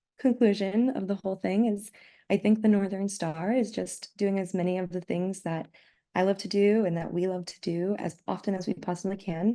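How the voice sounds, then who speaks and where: The voice has a dark, mellow tone. It carries an American accent. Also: woman. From US Midwest, St Louis Missouri. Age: 20s. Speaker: eyewear designer and artist. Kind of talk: online presentation.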